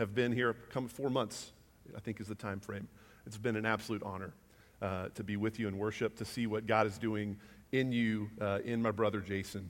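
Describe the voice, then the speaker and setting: An ordinary speaking voice from a man at medium pitch comes through a very clean recording with a silent background, at a moderate pace with fairly even intonation. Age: 30s. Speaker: guest preacher. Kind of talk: sermon. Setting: church.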